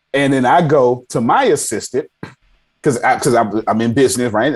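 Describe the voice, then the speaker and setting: This man speaks with an American accent. His tone is animated. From Texas (Galveston). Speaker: tech CEO and entrepreneur. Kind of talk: casual interview chat.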